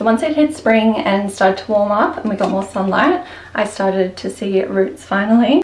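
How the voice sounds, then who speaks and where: Someone with an Australian accent speaks at a moderate pace amid noticeable background noise. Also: woman, medium pitch for a woman. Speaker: houseplant content creator. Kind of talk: tutorial.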